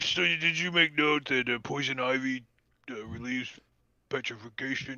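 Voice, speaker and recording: A man performs a put-on character voice at medium pitch. He keeps a moderate pace with ordinary pitch variation. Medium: actual play. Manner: breezy, salesman-like.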